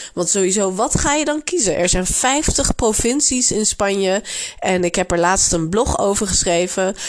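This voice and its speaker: Lively intonation from a woman of medium pitch at a moderate pace, very even loudness, noticeable background noise. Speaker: Spanish language teacher. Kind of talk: tutorial. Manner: frequent hesitations (uh).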